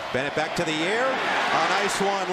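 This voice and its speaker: Against noticeable background noise, a man speaks in an excited tone. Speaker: play-by-play football announcer. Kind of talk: live play-by-play football commentary, calling each snap. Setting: stadium broadcast booth. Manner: brisk clipped bursts rising to excited calls on big plays.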